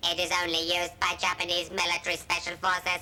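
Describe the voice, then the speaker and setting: In a cartoonish character voice, a female-sounding speaker talks very fast at a fairly low pitch with monotone, flat intonation over clear background noise. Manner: flat, precise.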